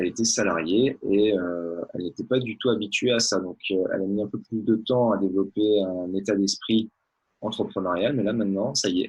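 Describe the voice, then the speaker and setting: A man with a normal speaking voice talks at a fairly low pitch and a moderate pace, his intonation fairly even. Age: 30s. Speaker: network marketer, former orthodontist. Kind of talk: interview.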